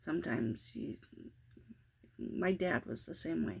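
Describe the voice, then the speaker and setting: This voice moves at a fairly slow pace with vocal fry. Its pitch swings very widely. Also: woman. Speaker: vlogger, stay-at-home parent. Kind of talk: casual vlog monologue. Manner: raises voice when frustrated; calmer, less tense than at start.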